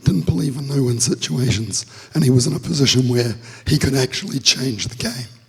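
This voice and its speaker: Noticeable background noise sits behind a man talking at a moderate pace in a medium pitch with lively intonation. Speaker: security researcher presenting at conference. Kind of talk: conference talk. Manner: halting, filler-heavy.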